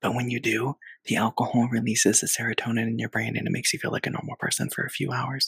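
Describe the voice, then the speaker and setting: A man whispers in a raspy, put-on character voice. He talks at a very fast pace. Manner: whispering, conspiratorial.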